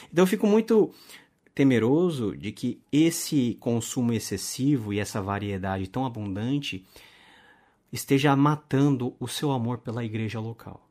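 A man with a plain, everyday voice, medium pitch, lively intonation and a fairly slow pace, on a very clean recording with a silent background. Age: 30s. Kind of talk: casual interview.

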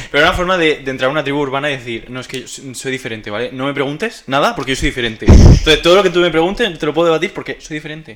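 Over noticeable background noise, a man speaks at a very fast pace with hardly any pauses, at a fairly high pitch with ordinary pitch variation. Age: 20s. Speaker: podcast co-host, graphic designer. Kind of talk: casual chat. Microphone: cheap microphone and headset.

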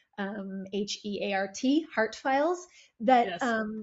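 A woman with an ordinary speaking voice and a Canadian accent speaks at a fairly high pitch with lively intonation. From Ontario, Canada (Toronto and Barrie area). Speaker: government communications director. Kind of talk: interview.

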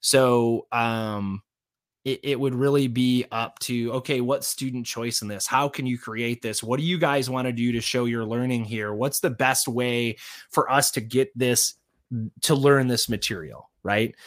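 A man has an unremarkable speaking voice at medium pitch. He speaks at a fairly slow pace with fairly even intonation. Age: 40s. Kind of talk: casual interview chat. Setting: remote podcast recording.

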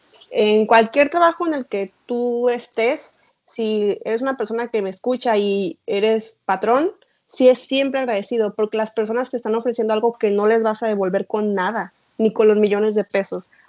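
A woman with an ordinary speaking voice, fairly high in pitch, at a moderate pace with ordinary pitch variation. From Mexico. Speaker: podcast host. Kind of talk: interview.

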